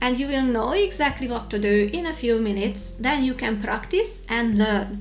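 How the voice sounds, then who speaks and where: In a Hungarian accent, a woman speaks at a moderate pace and a fairly high pitch with lively intonation. Noticeable background noise and audible room echo are present. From Hungary. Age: 40s. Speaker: YouTuber. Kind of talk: tutorial vlog.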